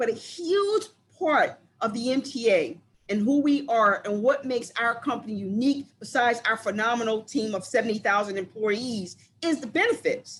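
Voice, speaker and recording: Her intonation lively, a woman speaks in a high pitch at a moderate pace. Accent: American. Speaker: recruiter presenting careers. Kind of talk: online presentation.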